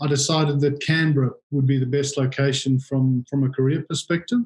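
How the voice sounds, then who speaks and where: Somewhat breathy, a man with a South African accent talks at a fairly quick pace in a fairly high pitch, keeping his intonation fairly even. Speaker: industry association chief executive. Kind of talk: interview. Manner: halting, frequent repetitions and fillers.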